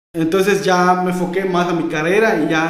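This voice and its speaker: There is audible room echo around a man with a high pitch who speaks with fairly even intonation. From Yucatán, Mexico. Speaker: rapper; podcast guest. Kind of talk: casual chat. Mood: calm reflective. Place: studio.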